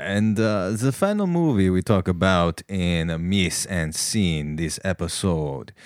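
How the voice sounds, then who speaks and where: A man speaks very slowly in a very deep, low voice. The recording is very clean with a silent background, and the sound is dry and close with no echo. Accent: American. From New York, Westchester. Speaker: comedian. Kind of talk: comedy sketch; casual chat.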